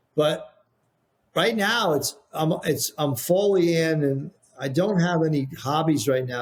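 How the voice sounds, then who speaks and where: A somewhat breathy male voice with an American accent, at a fairly slow pace. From Texas. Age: 60s. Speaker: painting products business founder. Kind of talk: podcast interview. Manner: repetitive, restarts often.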